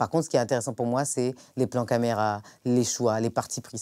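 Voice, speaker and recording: A woman speaks at a very deep, low pitch with a dark, mellow tone and fairly even intonation. Her pace is fairly quick, and the recording is very clean with a silent background. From France, of Comorian heritage. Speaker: singer. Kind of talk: interview answer. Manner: casual, hesitant.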